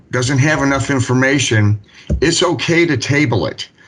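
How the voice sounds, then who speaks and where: An unremarkable speaking voice from a man, fairly slow, with ordinary pitch variation. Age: 60s. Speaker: municipal building official. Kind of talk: public meeting discussion. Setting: city board meeting.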